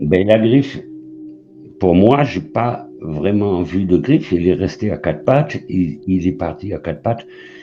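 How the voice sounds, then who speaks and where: Lively intonation from a man with a fairly low pitch, a very slow pace and music in the background. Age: 60s. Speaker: caller sharing a paranormal sighting. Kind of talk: testimony. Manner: halting.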